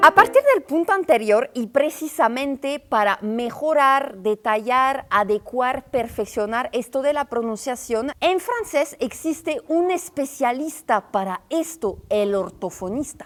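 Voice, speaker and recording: The speaker goes at a very slow pace with hardly any pauses and lively intonation, over noticeable background noise. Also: woman, high pitch for a woman. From northern France. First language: French (speaking Spanish). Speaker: travel and culture video creator. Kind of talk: informal explainer video. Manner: casual, conversational.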